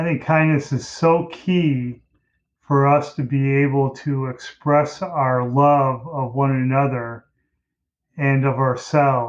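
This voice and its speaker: A man with an American accent, fairly high-pitched, very slow pace, fairly even intonation. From US Midwest, Detroit, Michigan. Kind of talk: interview conversation.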